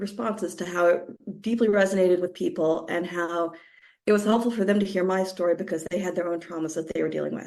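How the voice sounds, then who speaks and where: A woman talks with fairly even intonation. Her voice sits at a medium pitch. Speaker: podcast host. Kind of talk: personal podcast monologue.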